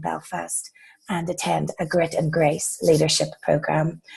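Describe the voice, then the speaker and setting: With an Irish accent, a woman speaks at a moderate pace in a fairly low voice marked by vocal fry. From Ireland. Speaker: corporate employee, new group member. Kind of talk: casual group video call introduction.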